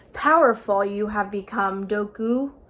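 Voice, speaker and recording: At a moderate pace, a put-on character voice comes through on a very clean recording with a silent background. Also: woman, medium pitch for a woman. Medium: read story. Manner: inverted word order, calm.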